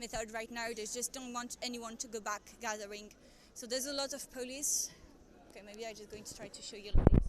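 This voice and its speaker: Fairly even intonation at a fairly quick pace. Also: woman. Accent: French. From France. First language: French. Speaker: live streamer filming a protest. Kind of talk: live-stream commentary with chat. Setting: outdoors at a street protest. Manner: hesitant, many fillers.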